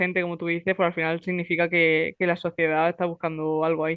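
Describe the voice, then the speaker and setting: Her pace fairly quick, a woman speaks with fairly low pitch and monotone, flat intonation. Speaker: podcast host. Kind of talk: casual interview chat.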